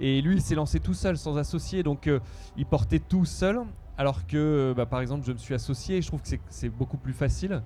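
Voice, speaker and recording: Music is playing in the background. Over it, a man speaks at a fairly quick pace. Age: 40s. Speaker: entrepreneur. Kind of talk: interview. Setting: outdoors at music festival. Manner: hesitant with fillers.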